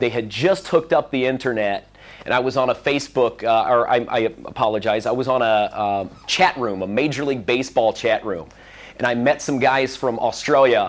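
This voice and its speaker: Someone with a Midwestern American accent speaks at a fairly quick pace with ordinary pitch variation. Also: man, medium pitch for a man. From US Midwest, Central Illinois. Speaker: conference speaker. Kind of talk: conference talk. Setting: stage with audience.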